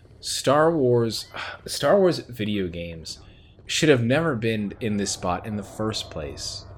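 Over noticeable background noise, a man with a medium pitch talks at a very slow pace, with very wide pitch swings and big swings in loudness. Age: 30s. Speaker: podcast host. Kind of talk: solo commentary monologue. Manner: animated.

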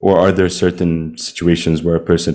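Over a silent background in a very clean recording, a man with a very deep, low pitch and a dark, mellow tone speaks at a moderate pace in a monotone, flat intonation. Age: 20s. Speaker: podcast host. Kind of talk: interview conversation.

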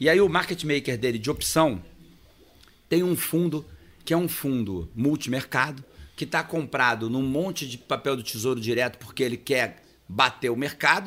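A man speaks at a moderate pace in a medium pitch, using an ordinary speaking voice. His intonation is lively. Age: 50s. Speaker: accountant and trading firm owner. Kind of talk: casual interview chat.

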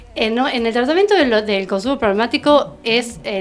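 The delivery is fairly quick with lively intonation. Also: woman. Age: 40s. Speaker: therapeutic companion. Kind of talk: interview. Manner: halting.

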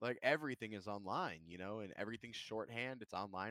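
Very fast speech in a dry, close sound with no echo. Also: man. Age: 20s. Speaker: streamer. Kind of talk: casual chat.

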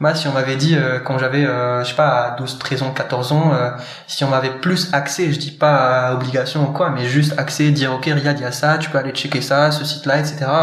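A man speaks at a moderate pace and a fairly high pitch in a monotone, flat way, with audible room echo and noticeable background noise. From Morocco. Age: 20s. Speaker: startup co-founder. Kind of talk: casual interview. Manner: hesitant, many fillers.

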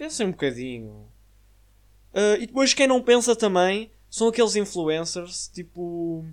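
At a fairly slow pace, the speaker talks with a European Portuguese accent. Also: very clean recording, silent background. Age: young. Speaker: podcast host. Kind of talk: casual monologue. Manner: filler-heavy casual.

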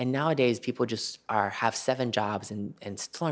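A man's plain, everyday voice at medium pitch and a moderate pace, on a very clean recording with a silent background. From Florida (Tampa Bay), born in Albania. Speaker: model and former finance worker. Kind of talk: casual chat.

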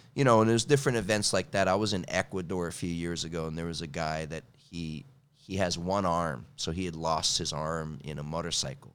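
A man talks at a fairly quick clip in a very deep, low voice with an American accent. The recording is very clean, with a silent background. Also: ordinary pitch variation. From California. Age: 50s. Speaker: kettlebell coach and martial artist. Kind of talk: casual interview.

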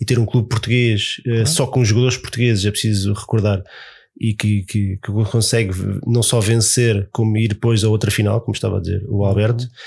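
Fairly quick and very even in loudness, a man's somewhat breathy voice has a fairly low pitch and fairly even intonation on a very clean recording with a silent background. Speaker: podcast host. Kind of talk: casual chat.

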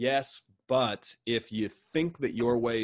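This man has a normal speaking voice, fairly low in pitch, with an American accent and ordinary pitch variation. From United States. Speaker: author and business consultant. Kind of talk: interview conversation. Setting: video call.

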